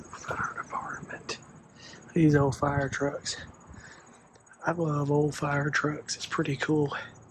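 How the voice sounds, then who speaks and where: With a Southern US accent, a man at a fairly high pitch speaks in a flat monotone at a very slow pace with long, frequent pauses, in a dry sound with no echo over light background noise. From South Carolina. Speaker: travel vlogger. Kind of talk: casual vlog commentary. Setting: indoor auto museum. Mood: delighted, admiring. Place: hall. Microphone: phone near.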